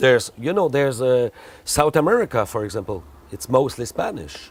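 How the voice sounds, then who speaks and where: Moving at a fairly quick pace, a man talks at a medium pitch with very wide pitch swings. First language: French. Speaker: expat parent. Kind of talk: interview.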